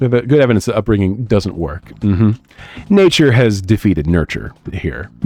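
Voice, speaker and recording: Over music in the background, a man with a fairly low pitch and lively intonation talks with hardly any pauses. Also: moderate pace. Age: 30s. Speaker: streamer and artist. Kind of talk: casual live stream chat while drawing. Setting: live stream. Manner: halting, many fillers and repeats.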